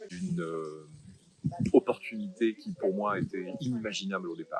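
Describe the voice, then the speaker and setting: A man speaks fairly slowly in a fairly low register, his pitch swinging very widely. The sound is dry and close, without echo. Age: 60s. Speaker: retired business executive turned coach. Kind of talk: testimonial interview. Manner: hesitant, many fillers.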